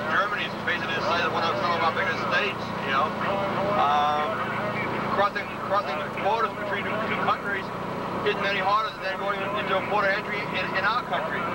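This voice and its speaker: Over loud background noise, a man talks at a fairly quick pace with ordinary pitch variation in a dry sound with no echo. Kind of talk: interview answer. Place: car. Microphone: old recording.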